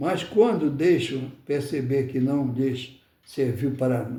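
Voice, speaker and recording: Amid audible room echo, a man speaks very slowly in a fairly high, somewhat breathy voice with a dark, mellow tone. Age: 80s+. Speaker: spiritist study lecturer. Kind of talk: religious study talk. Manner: halting, with many repetitions.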